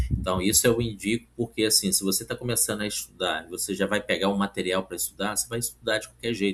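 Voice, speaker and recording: A man talks at a very fast pace with hardly any pauses. His fairly low voice has vocal fry and fairly even intonation. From Brazil, Minas Gerais (Oliveira). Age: 40s. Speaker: civil service exam candidate and study coach. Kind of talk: casual vlog talk with product pitch. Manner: informal, with many fillers.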